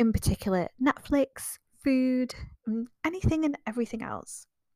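Recorded very cleanly against a silent background, the sound is dry and close with no echo. A woman speaks at a fairly slow pace with ordinary pitch variation. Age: 30s. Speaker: podcast host and business coach. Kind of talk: solo podcast monologue. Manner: upbeat and enthusiastic.

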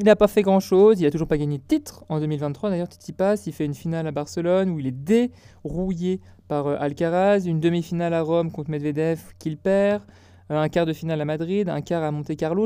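Quick-paced, a man talks in a high pitch with a dark, mellow tone and ordinary pitch variation. The background is quiet. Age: 20s. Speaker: tennis podcaster and university student. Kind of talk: solo podcast commentary. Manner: casual, with frequent hesitations.

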